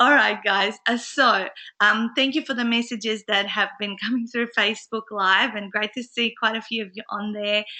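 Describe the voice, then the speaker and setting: A woman with an Australian accent, fairly high in pitch with a bright, sharp tone, fairly even intonation, a moderate pace and hardly any pauses. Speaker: business coach and webinar host. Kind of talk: live webinar chat. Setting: live online broadcast from a friend's house. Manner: quieter than normal.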